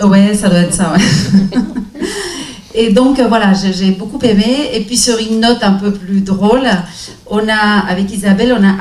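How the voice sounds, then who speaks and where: A woman at a medium pitch speaks at a fairly slow pace with a non-native accent and ordinary pitch variation. The recording has audible room echo and noticeable background noise. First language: not French (speaking French). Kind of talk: round table discussion.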